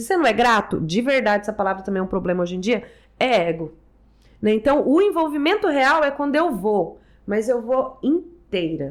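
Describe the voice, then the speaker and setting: The recording is very clean, with a silent background. A woman's pitch swings very widely. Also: moderate pace. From Brazil, Bauru (São Paulo state). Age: 40s. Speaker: anthroposophic therapist and philosopher. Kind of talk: podcast interview.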